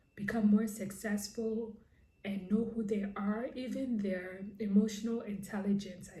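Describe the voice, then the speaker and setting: In a room with audible echo, a woman speaks fairly slowly at a medium pitch, her tone dark and mellow, somewhat breathy, and her intonation monotone and flat. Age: 40s. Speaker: lifestyle and crochet vlogger. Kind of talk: personal vlog monologue.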